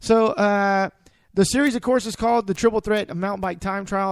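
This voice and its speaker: This man speaks with an American accent in a high pitch. The recording is very clean with a silent background. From Texas, San Antonio. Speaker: radio sports show host. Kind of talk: casual radio chat. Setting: studio.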